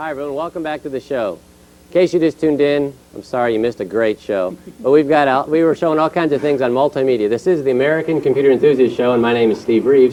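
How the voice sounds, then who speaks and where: This man's pitch is fairly high, with ordinary variation, and he talks at a very fast pace. Background noise is noticeable. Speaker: TV talk show host. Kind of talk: live call-in TV show. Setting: TV studio.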